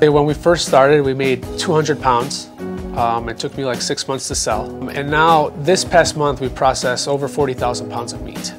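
With clear music in the background, a man's moderate-paced speech shows ordinary pitch variation. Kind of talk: interview answer. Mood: proud, relaxed. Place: cafe.

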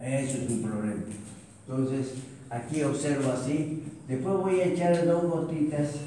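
Amid strong room echo and light background noise, a man speaks fairly slowly with ordinary pitch variation. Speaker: physiology teacher. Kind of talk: lecture. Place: classroom. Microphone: camera far.

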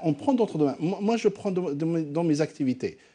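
Very fast speech in a dark, mellow tone. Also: man. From Algeria. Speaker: company CEO; guest. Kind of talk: live TV panel debate. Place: studio.

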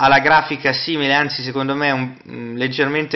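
Delivery comes at a moderate pace with fairly even intonation. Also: man. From Italy. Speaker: tech reviewer. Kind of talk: tutorial. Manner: halting. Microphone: camera far.

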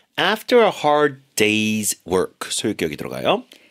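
The man's voice swings very widely in pitch, with a dry, close sound and no echo. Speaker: radio English teacher. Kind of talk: radio English lesson.

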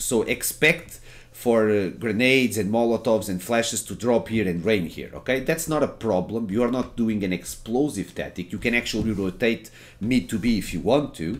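A man with a Portuguese accent on a very clean recording with a silent background. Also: medium pitch for a man, ordinary pitch variation, moderate pace. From Portugal. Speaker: gaming streamer and tutorial maker. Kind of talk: gameplay tutorial. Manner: informal, filler-heavy.

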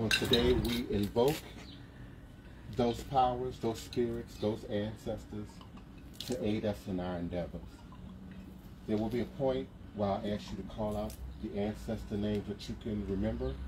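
Noticeable background noise sits behind a man's fairly low-pitched voice. He keeps a moderate pace, broken by long, frequent pauses. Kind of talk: invocation speech. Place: street. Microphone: camera far.

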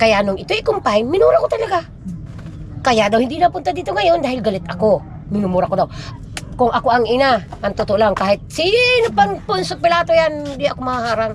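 Against noticeable background noise, a woman talks fairly quickly in a fairly high voice with very wide pitch swings. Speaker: grandmother of a sick child. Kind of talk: casual conversation. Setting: at home.

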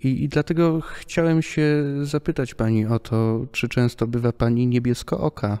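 Over a quiet background, a man with a dark, mellow, medium-pitched voice speaks at a moderate pace with hardly any pauses, ordinary pitch variation and very even loudness. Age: 20s. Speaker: podcast host. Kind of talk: interview. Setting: theatre hall. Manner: formal. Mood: calm, respectful. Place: hall. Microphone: studio mic.

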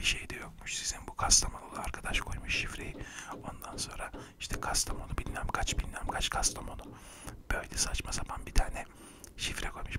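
A soft-spoken man at a moderate pace over loud background noise. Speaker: storyteller playing a confessing thief. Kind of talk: comic monologue storytelling. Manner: soft close-mic ASMR speech. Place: home room. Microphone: studio mic.

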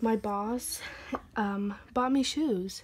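There is light background noise. A woman talks at a very slow pace in a fairly high pitch. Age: 20s. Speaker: YouTuber. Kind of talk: casual vlog flip-through. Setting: home recording. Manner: casual, hesitant with many fillers. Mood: relaxed, cheerful. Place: home room. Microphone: phone near.

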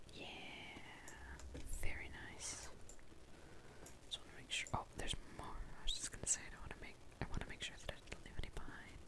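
A woman whispers at a fairly quick pace, leaving long, frequent pauses. Her loudness swings widely over noticeable background noise. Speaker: ASMR gamer / content creator. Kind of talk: ASMR gameplay whisper ramble. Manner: whispered, soft-spoken.

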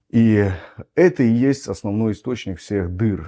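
Lively intonation and a dark, mellow tone come through over a quiet background. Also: man. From Belarus. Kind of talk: lecture. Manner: teaching, explanatory. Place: home room.

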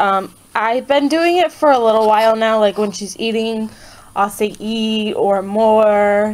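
The woman speaks at a fairly slow pace. Her pitch varies in an ordinary way. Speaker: mother vlogger. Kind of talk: casual vlog chat. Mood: relaxed, enthusiastic. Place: home room. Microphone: phone near.

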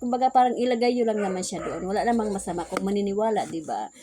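A woman speaks with lively intonation. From Visayas, Philippines. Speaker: vlogger and sari-sari store owner. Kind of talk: casual vlog talk.

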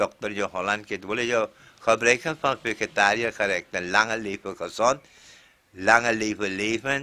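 The voice has a bright, sharp tone, moving at a very slow pace with fairly even intonation. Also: man. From Suriname, Nickerie district; Suriname. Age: 70s. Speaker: Hindi teacher. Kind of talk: interview storytelling. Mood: warm, often smiling. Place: home room. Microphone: handheld.

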